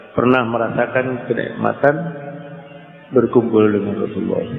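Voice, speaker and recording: Against music in the background and audible room echo, a man speaks in a monotone, flat medium pitch. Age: 60s. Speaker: Islamic cleric. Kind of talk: religious sermon. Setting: pesantren gathering after dawn prayer.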